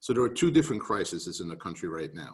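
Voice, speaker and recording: A man at a fairly low pitch with a New York accent. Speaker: real estate market speaker. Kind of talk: webinar presentation. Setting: video call.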